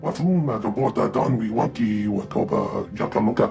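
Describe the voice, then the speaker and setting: A man puts on a character voice at a medium pitch. He keeps a moderate pace, with clear background noise behind him. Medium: video game. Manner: fast, twitchy.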